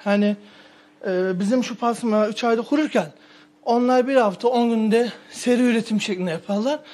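At a moderate tempo, the pitch shifts in an ordinary way. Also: man. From Turkey. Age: 20s. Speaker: pastırma producer. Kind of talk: street interview. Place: shop.

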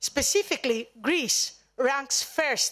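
Over a quiet background, a woman with a high pitch speaks at a very slow pace. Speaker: panel moderator. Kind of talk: formal opening remarks. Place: hall. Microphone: podium.

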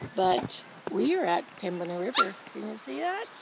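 A woman's voice in a dry sound with no echo, over loud background noise. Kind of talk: casual vlog chat. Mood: relaxed, apologetic. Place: open country. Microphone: phone near.

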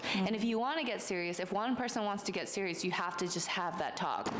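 A woman's lively, fairly quick speech comes through against noticeable background noise. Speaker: social media influencer. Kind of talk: casual chat. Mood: relaxed, candid girl talk. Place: home room. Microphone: handheld.

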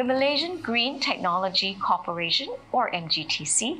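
A woman speaks at a high pitch with very wide pitch swings and a bright, sharp tone. Light background noise sits behind her. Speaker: festival host. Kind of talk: ceremony welcome remarks. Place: studio. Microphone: handheld.

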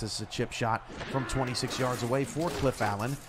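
A man speaks over noticeable background noise. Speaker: play-by-play commentator. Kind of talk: live play-by-play sports commentary of a simulated football game. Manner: conversational, broadcast-style with occasional self-corrections.

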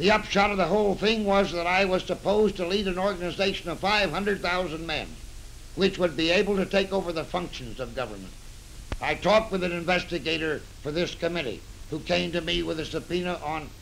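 A man with an American accent talks at a fairly quick pace in a high pitch, with fairly even intonation and light background noise. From United States. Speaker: retired general testifying before a congressional committee. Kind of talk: 1930s newsreel statement. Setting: old newsreel recording. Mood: earnest, serious. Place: office.

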